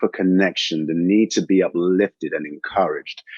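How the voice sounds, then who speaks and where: Dry and close with no echo, a man's fairly low voice moves at a moderate pace with ordinary pitch variation. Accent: American. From England, London. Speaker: fitness trainer and studio founder. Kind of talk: podcast interview.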